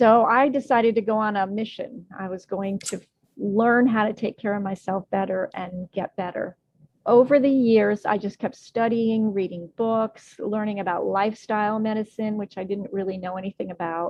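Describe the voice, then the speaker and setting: At a moderate pace, a woman talks in an ordinary speaking voice, fairly high in pitch with fairly even intonation. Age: 60s. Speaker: health and wellness coach. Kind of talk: interview.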